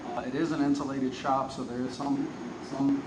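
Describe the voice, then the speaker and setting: Fairly quick speech with fairly even intonation comes through audible room echo and noticeable background noise. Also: man. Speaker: AV equipment reviewer. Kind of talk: product review demo. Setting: large insulated shop with metal walls, concrete floor. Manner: casual, many fillers; moderate volume, carrying voice.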